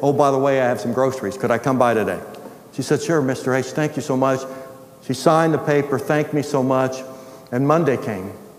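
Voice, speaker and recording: A man's medium-pitched voice at a fairly quick pace, fairly even in intonation, with audible room echo and noticeable background noise. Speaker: retired pastor and ministry founder. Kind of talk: sermon.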